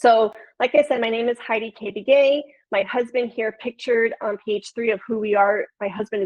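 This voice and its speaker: Someone speaks at a moderate pace in a Chicago accent with fairly even intonation. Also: woman. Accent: Chicago accent, nasal vowels. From Chicago, Illinois. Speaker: podcast producer and flutist. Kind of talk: webinar presentation.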